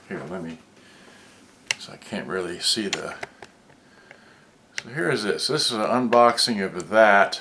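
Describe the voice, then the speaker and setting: Noticeable background noise sits behind speech with long, frequent pauses. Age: 60s. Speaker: product reviewer. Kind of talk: live unboxing video. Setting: live stream. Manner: halting.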